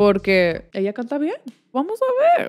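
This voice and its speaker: A woman speaks in an animated tone, her sound dry with no echo against a quiet background. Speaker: YouTuber. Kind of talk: casual commentary video. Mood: playful, opinionated. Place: home room. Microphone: handheld.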